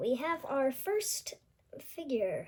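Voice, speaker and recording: A woman speaks at a very slow pace. Her high pitch moves in very wide swings. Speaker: toy unboxing youtuber. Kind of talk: unboxing video. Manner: hesitant, many fillers.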